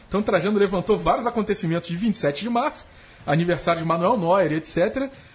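A man's high-pitched voice at a fairly quick pace, ordinary pitch variation, and noticeable background noise. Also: very even loudness. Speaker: MMA journalist and podcast co-host. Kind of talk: casual chat. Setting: studio.

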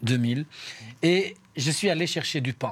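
In a very clean recording with a silent background, a man speaks at a fairly slow pace. His pitch is fairly high. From Albania. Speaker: community worker and association coordinator. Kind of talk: radio interview. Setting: studio.

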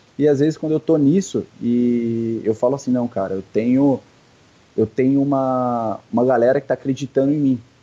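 Dark and mellow in tone, a man's medium-pitched voice moves at a moderate pace with fairly even intonation. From São Paulo, Brazil. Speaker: CrossFit athlete. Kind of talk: casual interview.

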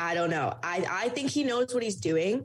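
Her pace is fairly quick as the woman talks. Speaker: student sports journalist. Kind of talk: interview chat.

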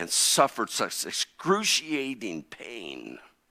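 A man with an American accent, bright and sharp in tone with vocal fry, in a very clean recording with a silent background and a dry, close sound with no echo. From US Midwest (Connersville, Indiana). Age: 60s. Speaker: pastor. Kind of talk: sermon.

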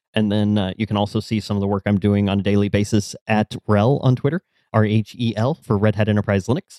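A man with an American accent, fairly low-pitched with a dark, mellow tone, very fast, at very even loudness, dry and close with no echo on a very clean recording with a silent background. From US Midwest, Kansas City. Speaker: technical marketing manager. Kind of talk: casual interview chat.

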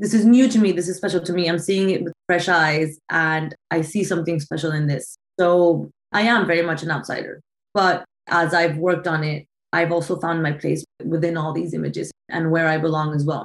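Speech in a Spanish accent comes at a fairly quick pace with fairly even intonation. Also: woman, fairly low pitch for a woman. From Colombia, Bogota. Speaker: photographer. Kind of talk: interview.

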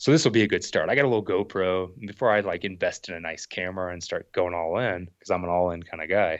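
The man talks at a very fast pace with a fairly low pitch. The background is quiet. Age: 30s. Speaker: outdoor YouTuber and thru-hiker. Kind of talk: casual chat.

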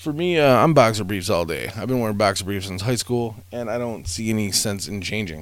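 A man's fairly low, animated voice with lively intonation at a moderate pace, plus audible room echo. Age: 40s. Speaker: podcast host. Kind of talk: casual solo monologue. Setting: home recording room above garage. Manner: rambling, animated.

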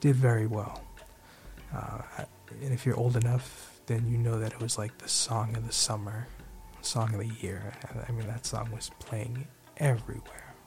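A man's medium-pitched voice with monotone, flat intonation over noticeable background noise. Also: moderate pace. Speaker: podcast host. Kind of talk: radio DJ patter with sponsor reads and show sign-offs. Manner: warmly grateful and sincere, stressing words for emphasis.

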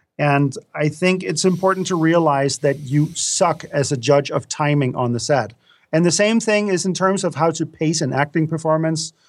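A fairly high-pitched man with a Danish accent, ordinary pitch variation and a moderate pace, on a very clean recording with a silent background. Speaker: film director and course instructor. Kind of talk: interview.

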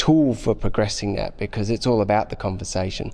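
The voice belongs to a man. He talks with an Australian accent. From Australia, Sydney. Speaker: intensive care doctor. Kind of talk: interview.

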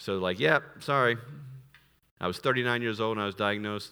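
On a very clean recording with a silent background, a man speaks in a bright, sharp tone with ordinary pitch variation. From US, military family, moved around. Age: 40s. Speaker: missionary and missions director. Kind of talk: sermon.

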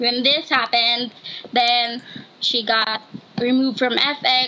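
Against noticeable background noise, a woman talks at a high pitch. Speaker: student. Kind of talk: casual chat. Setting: video call. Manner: halting.

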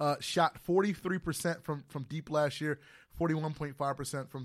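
This is a man with an ordinary speaking voice. His intonation stays fairly even. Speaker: radio sports show host. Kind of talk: radio sports talk show banter. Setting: radio studio.

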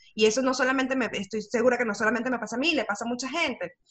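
A woman is talking. She has a high-pitched voice. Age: 30s. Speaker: communications and personal branding speaker. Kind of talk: casual interview. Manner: halting, many repetitions and fillers.

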